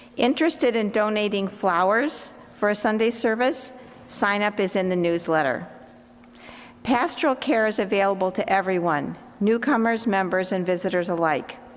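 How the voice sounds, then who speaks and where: In a room with audible echo, a woman talks at a moderate pace and medium pitch, her intonation lively and her loudness very even. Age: 70s. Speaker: church lay leader. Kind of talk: announcements. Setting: church service streamed on Zoom.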